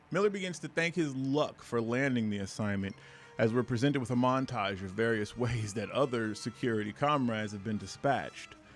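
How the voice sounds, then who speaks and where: Music plays in the background as the voice moves at a fairly quick pace with ordinary pitch variation. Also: man, medium pitch for a man. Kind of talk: comic book review to camera. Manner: reading from a script.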